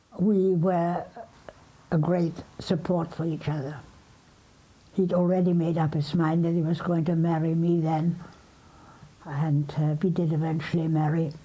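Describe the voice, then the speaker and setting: A woman with a fairly low, dark, mellow voice speaks at a fairly slow pace with long, frequent pauses. Her intonation is monotone and flat, her loudness very even, and the room echo audible. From Germany, Berlin. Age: 80s+. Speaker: Holocaust survivor. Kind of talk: testimony.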